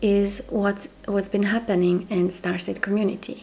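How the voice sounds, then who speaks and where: A woman speaks in a Croatian accent at a medium pitch and a fairly slow pace. Noticeable background noise sits behind her. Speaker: spiritual mentor. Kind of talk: monologue to camera.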